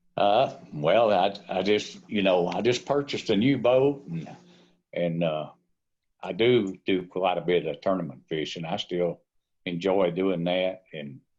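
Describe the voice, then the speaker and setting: Against a quiet background, a man with a very deep, low voice and a Tennessee accent talks at a fairly slow pace with ordinary pitch variation. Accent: Tennessee Southern. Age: 70s. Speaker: fishing guide. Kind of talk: casual chat. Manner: halting.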